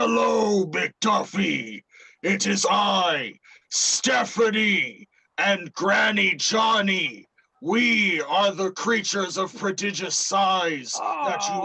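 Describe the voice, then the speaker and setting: A man puts on a character voice, high in pitch and very slow in pace. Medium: actual play.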